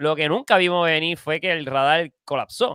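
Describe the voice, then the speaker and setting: A man speaks at a moderate pace in a bright, sharp tone with ordinary pitch variation, the sound dry and close with no echo. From Puerto Rico. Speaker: filmmaker. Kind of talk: casual interview.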